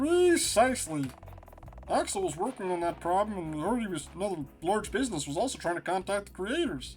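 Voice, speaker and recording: Clear music plays behind a man doing a put-on character voice. It's high in pitch and delivered at a fairly quick pace. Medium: game stream. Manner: confident, breezy.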